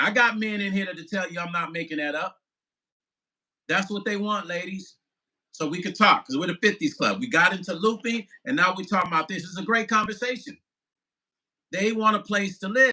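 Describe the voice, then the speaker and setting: This man uses a raised, projected voice with a bright, sharp tone and high pitch. He talks at a fairly quick pace but takes long, frequent pauses. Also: ordinary pitch variation, big swings in loudness. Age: 50s. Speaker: musician and vlogger. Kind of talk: live stream chat reading viewer comments. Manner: animated.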